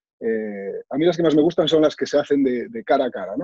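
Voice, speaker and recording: Fairly high in pitch yet dark and mellow in tone, a man's voice moves at a fairly quick pace, dry with no echo against a quiet background. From Galicia, Spain (Sarria, Lugo). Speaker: author, cancer survivor and motivational speaker. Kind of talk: personal testimony. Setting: video call. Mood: reflective, earnest. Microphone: video call.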